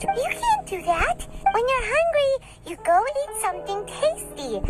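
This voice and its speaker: Over faint background music, a squeaky put-on character voice at an extremely high pitch speaks at a fairly slow pace. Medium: machinima. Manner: chatty, upbeat.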